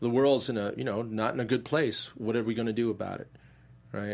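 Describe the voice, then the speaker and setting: Heard in a very clean recording with a silent background, a man talks at medium pitch with fairly even intonation. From Chinese-speaking background, raised in US. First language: Mandarin. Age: 40s. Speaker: comic book creator. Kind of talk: casual interview. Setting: studio.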